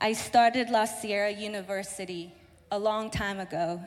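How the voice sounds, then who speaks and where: Speaking with an American accent and a normal speaking voice, a woman talks at a moderate pace in a fairly high pitch. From southern California, Mexican-born. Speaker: church office assistant. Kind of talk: testimony. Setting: church.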